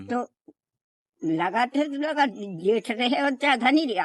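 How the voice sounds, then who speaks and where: A woman's high voice with lively intonation. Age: 80s+. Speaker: great-grandmother. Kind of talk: interview answer.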